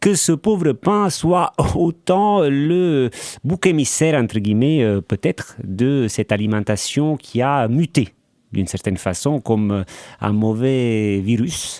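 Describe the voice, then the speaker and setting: With an Italian accent, a man speaks very slowly in a dark, mellow tone with very wide pitch swings, the sound dry and close with no echo. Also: medium pitch for a man, very clean recording, silent background. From Italy, Naples. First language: Italian (speaking French). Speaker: baker and former journalist. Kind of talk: interview. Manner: hesitant, many fillers.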